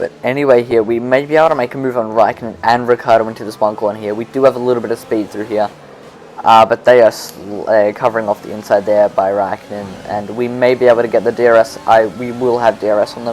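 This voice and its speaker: Talking at a very fast pace with fairly even intonation, a man with an Australian accent is heard over noticeable background noise. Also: medium pitch for a man. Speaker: gaming YouTuber. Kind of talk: gameplay commentary. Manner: casual, self-correcting.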